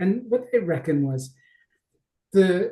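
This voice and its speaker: In an Australian accent, a man speaks at a fairly slow pace, his dark, mellow tone carried by lively intonation. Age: 50s. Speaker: mindset coach. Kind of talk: podcast interview. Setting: video call.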